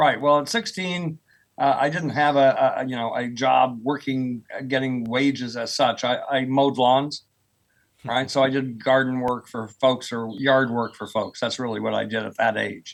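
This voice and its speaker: Speaking at a moderate pace with an American accent, this man has a normal speaking voice, medium pitch and fairly even intonation. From US, rural Oklahoma. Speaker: professor of earth sciences. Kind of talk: podcast interview.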